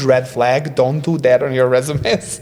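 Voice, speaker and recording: A man with a non-native accent speaks at a moderate pace and a medium pitch. Noticeable background noise runs under his voice. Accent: foreign. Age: 30s. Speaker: creative director and restaurant owner. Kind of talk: casual interview chat. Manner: halting, many fillers.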